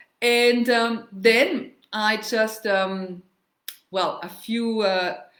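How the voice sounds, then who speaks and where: This woman has a Bavarian German accent and a fairly high voice with ordinary pitch variation, and the room echo is audible. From Germany, Munich (Bavaria). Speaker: travel and culture vlogger. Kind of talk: casual livestream talk on history and language. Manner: halting, many fillers. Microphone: laptop mic, first time.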